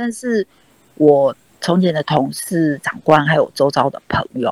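A woman speaks at a fairly slow pace in a very deep, low voice, with lively intonation and a dry, close sound that has no echo. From Taiwan, Kaohsiung. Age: 60s. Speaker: dancer. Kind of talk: interview. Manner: halting.

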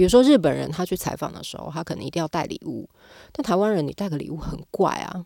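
A woman talks at a fairly quick pace with a fairly low pitch, lively intonation and an animated tone. The recording is very clean, with a silent background. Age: 40s. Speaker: arts company executive director. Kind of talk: casual interview.

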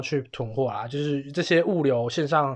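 The speaker uses a plain, everyday voice at a moderate pace with ordinary pitch variation. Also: man. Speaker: podcast host. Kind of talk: casual chat.

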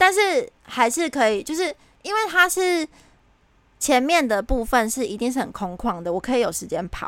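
Speaking with a Taiwanese accent, a woman has a high pitch and very wide pitch swings. Her pace is moderate. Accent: Taiwanese Mandarin. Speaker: podcast co-host. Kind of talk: casual chat. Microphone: new headset that disturbs her speaking.

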